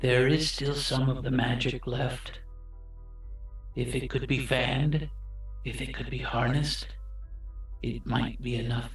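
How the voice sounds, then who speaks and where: A man speaks in a put-on character voice. He talks at a fairly slow pace, with clear music behind him. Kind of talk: ominous fantasy mystic. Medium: actual play. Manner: slow, solemn, cryptic short sentences.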